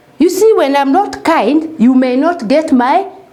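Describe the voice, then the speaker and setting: Audible room echo surrounds the voice. It speaks at a very slow pace. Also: woman. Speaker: primary school teacher. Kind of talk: recorded lesson for young children. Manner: loud and clear, not shouting; slow, repetitive, addressing children.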